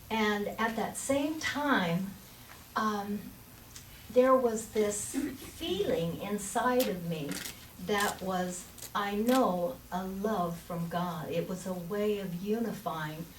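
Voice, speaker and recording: A woman talks at a very slow pace with medium pitch and ordinary pitch variation. Noticeable background noise and audible room echo fill the recording. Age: old. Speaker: minister. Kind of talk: sermon. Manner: halting.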